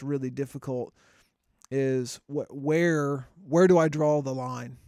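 In monotone, flat intonation, a man speaks at a fairly high pitch. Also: very clean recording, silent background. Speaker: podcast co-host. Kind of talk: casual chat.

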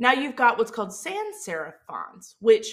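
In a Mississippi accent, a woman speaks at a fairly slow pace. Her tone is animated, bright and sharp. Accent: Southern Mississippi. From US South, Mississippi. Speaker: podcast host, social media marketer. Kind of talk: solo podcast tutorial.

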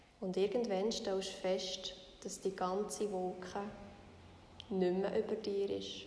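Over noticeable background noise, a woman of medium pitch speaks very slowly in a calm, soothing tone, her intonation monotone and flat, with long, frequent pauses. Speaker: meditation guide podcaster. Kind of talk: guided meditation. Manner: slow, calm, soothing, gently paced with long pauses.

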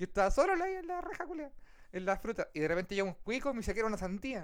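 Very wide pitch swings mark the speech, with noticeable background noise behind it. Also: man. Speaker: podcast host and streamer. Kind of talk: casual chat. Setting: live stream.

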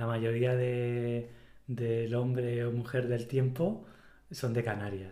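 At a very slow pace, a man speaks at medium pitch with fairly even intonation. Audible room echo fills the recording. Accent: Spanish Mediterranean. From Spain. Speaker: podcast co-host. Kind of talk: casual chat.

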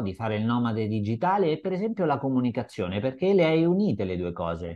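A man's voice with very wide pitch swings. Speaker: podcast host and interviewer. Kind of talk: casual interview chat. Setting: video call.

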